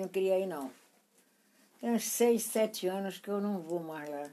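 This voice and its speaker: A woman speaks at a moderate pace in a dark, mellow tone, her medium pitch showing ordinary variation. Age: 80s+. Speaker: great-grandmother. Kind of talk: casual chat.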